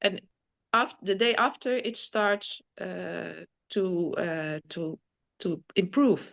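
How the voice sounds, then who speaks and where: With a Dutch accent, a woman talks at a medium pitch with vocal fry over a quiet background. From Netherlands. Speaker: guest sharing spiritual healing experiences. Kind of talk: casual interview testimony. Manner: halting, searching for words.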